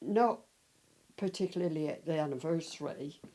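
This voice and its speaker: Lively intonation runs through a dark, mellow tone. The pace is moderate. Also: woman. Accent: West Country. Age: 80s+. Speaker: local resident, eyewitness of village history. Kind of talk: interview, reminiscing.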